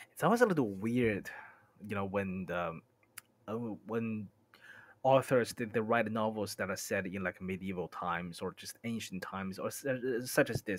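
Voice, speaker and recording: Recorded very cleanly against a silent background, a man with a fairly low pitch speaks at a moderate pace with ordinary pitch variation, in an ordinary speaking voice. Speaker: streamer. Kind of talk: casual talk to stream.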